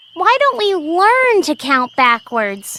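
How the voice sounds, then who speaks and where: A put-on character voice, fairly slow, with very wide pitch swings. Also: female-sounding voice, extremely high pitch for a woman. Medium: read story. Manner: polite, earnest.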